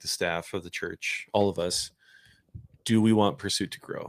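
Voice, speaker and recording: In a very clean recording with a silent background, a man speaks fairly slowly at a fairly low pitch, in a normal speaking voice. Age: 40s. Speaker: church staff podcast host. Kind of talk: casual chat.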